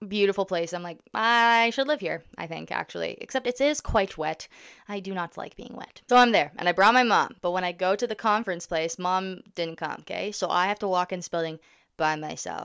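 A woman with a Canadian accent speaks at a moderate pace, her loudness swinging widely and her pitch varying in an ordinary way against a quiet background. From Ontario, Canada. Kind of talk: casual vlog monologue. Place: home room. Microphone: studio mic.

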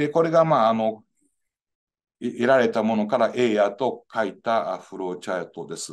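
A man talks at a moderate pace with big swings in loudness. The background is quiet. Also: lively intonation. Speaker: engineering professor. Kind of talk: lecture. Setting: video call. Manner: formal. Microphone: video call.

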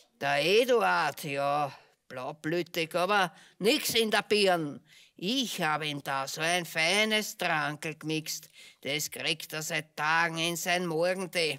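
Using a cartoonish character voice, a woman speaks at a fairly slow pace with a fairly low pitch. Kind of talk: theatrical puppet show monologue. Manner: gloating, conspiratorial.

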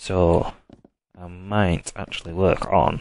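A man speaks very slowly in a very deep, low voice. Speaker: gaming YouTuber. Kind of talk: let's play commentary.

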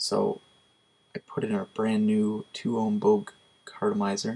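This is a man speaking. His voice is quiet. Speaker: product reviewer. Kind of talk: casual product review. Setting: at home at night. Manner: quiet, hushed. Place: home room. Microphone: webcam.

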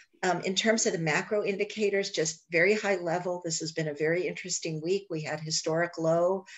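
A woman speaks at a moderate pace in a plain, everyday voice. Her pitch sits fairly low, and her intonation stays fairly even. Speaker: guest. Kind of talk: informational briefing. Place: home room. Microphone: video call.

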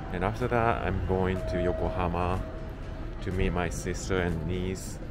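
A man with a Japanese accent talks at a moderate pace while clear music plays in the background. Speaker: travel vlogger. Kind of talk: casual talk to camera. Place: street. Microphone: phone near.

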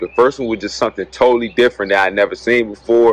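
A man talks at a very fast pace in a dry sound with no echo. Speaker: movie reviewer. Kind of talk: casual vlog review chat. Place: street. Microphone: phone near.

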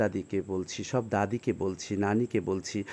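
A man's fairly low voice with a dark, mellow tone and ordinary pitch variation. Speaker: video blogger. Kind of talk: vlog monologue.

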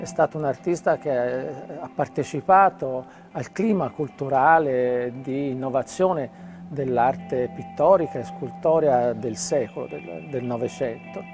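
A man speaking at a very slow pace, with clear music in the background. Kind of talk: interview answer. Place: hall.

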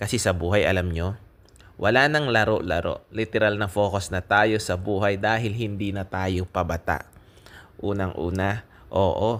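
A man's fairly low voice at a moderate pace, with fairly even intonation and a normal speaking voice. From Philippines. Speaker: vlogger, overseas Filipino worker; vlogger. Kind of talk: casual vlog talk to camera. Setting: restaurant. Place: cafe. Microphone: phone near.

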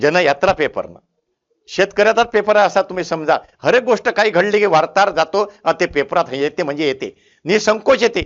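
A man's voice with big swings in loudness and ordinary pitch variation. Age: 70s. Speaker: motivational speaker. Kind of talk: motivational talk.

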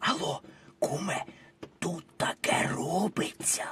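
A man uses a raspy put-on character voice, speaking at a fairly slow pace. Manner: whispering.

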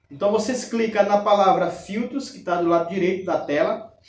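Here a man speaks in a high pitch at a moderate pace. The room gives audible echo. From Brazil. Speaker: YouTube airgun reviewer and raffle organizer. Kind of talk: street-seller style sales pitch, pushing a bargain and a raffle. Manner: emphatic, salesman-like, reassuring the buyer. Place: home room.

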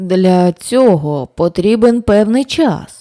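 A woman in a put-on character voice speaks very slowly at a medium pitch, shaky and with lively intonation. The sound is dry and close, with no echo. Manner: trembling.

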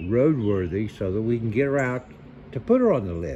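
Lively intonation marks this man's speech, with light background noise behind him. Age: 60s. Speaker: hobby car restorer. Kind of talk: casual vlog chat. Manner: relaxed, chatty. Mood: relaxed, upbeat. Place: garage. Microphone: phone near.

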